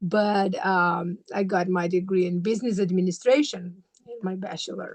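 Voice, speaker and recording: Speaking at a moderate pace, a woman talks with a Brazilian accent. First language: Portuguese. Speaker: graduate student and mother. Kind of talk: interview. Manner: halting, many fillers.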